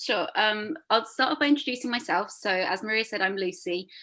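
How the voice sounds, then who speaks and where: Recorded very cleanly against a silent background, this voice has a bright, sharp tone, a London accent, ordinary pitch variation and a fairly quick pace. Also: woman. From London, England. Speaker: reflexologist. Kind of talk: interview. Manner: hesitant, many fillers.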